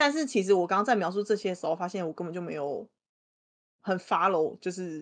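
A woman speaks at a medium pitch. Her pace is very fast. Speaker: guest co-host. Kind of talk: casual chat.

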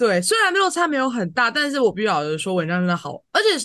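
A woman with a fairly high voice swings through a very wide pitch range against a quiet background. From Taiwan, Tainan. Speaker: podcast co-host. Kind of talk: casual chat.

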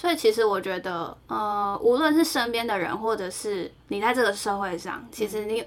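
A woman with a plain, everyday voice at medium pitch talks at a moderate pace. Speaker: podcast co-host. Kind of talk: casual chat.

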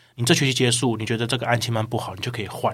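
The man's voice sits at a medium pitch with monotone, flat intonation. He talks at a very fast pace. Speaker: online course sales manager. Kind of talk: podcast interview.

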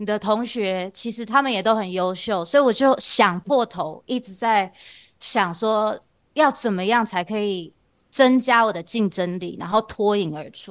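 In a quiet background, a woman with a fairly high pitch talks at a fairly slow pace, her pitch varying in an ordinary way while her loudness swings widely. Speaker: CFA candidate and university teaching assistant. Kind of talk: interview. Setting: remote video recording.

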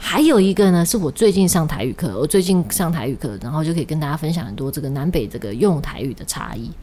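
Over noticeable background noise, a woman with a very deep, low pitch talks at a very fast pace with very wide pitch swings and hardly any pauses. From Taiwan, Kaohsiung. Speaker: podcast host. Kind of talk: casual chat.

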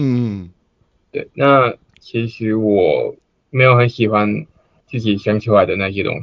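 A man's medium-pitched voice moves at a very slow pace. His intonation is fairly even, with long, frequent pauses. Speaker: amateur stand-up comedian. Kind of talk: casual chat.

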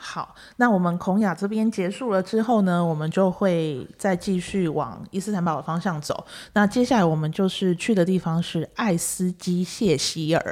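In a very clean recording with a silent background, a woman with a medium pitch and a normal speaking voice talks at a moderate pace. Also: ordinary pitch variation. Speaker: podcast host and travel agency owner. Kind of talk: casual interview. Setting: studio. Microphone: professional microphone.

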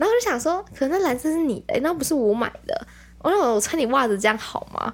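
Very wide pitch swings run through a woman's voice as she speaks at a very fast pace. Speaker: podcast co-host. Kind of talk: casual chat.

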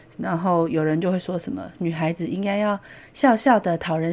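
Her voice fairly low for a woman with a dark, mellow tone, she speaks at a moderate pace with ordinary pitch variation. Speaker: podcast host. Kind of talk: casual solo talk explaining song lyrics. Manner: animated.

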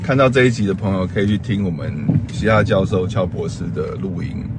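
At a fairly quick pace, a man with a very deep, low pitch speaks amid noticeable background noise and audible room echo. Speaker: podcast host. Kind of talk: casual chat. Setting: in a car. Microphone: audio taken from video, poorer sound.

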